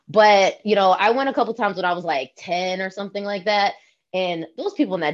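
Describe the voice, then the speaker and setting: A woman with an American accent and a normal speaking voice, fairly quick in pace, with ordinary pitch variation. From Long Island, New York (Shinnecock territory). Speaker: panelist, chronically ill athlete. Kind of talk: casual chat.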